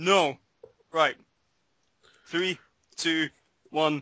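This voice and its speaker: A man with a Scottish accent talks in a bright, sharp tone with monotone, flat intonation. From Scotland. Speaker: podcast host. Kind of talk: casual chat.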